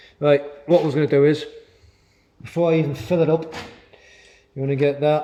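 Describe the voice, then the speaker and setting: A man mumbles in a monotone, flat intonation. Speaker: motorcycle DIY youtuber. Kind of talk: tutorial. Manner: mumbling.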